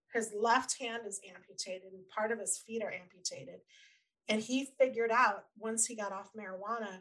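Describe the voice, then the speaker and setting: A woman speaks with a fairly high pitch. She has a plain, everyday voice. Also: fairly even intonation, moderate pace. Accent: American. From Colorado. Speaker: prevention advocate and parent. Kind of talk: interview.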